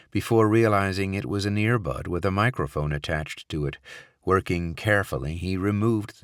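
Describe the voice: This is plain reading aloud. Pitch variation is ordinary.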